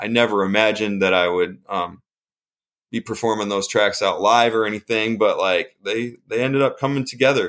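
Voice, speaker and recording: A man with an American accent speaks in a plain, everyday voice at a medium pitch, moderate pace and fairly even intonation. The recording is very clean, with a silent background. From upstate New York. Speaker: rock musician. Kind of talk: interview testimony. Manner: casual, many fillers.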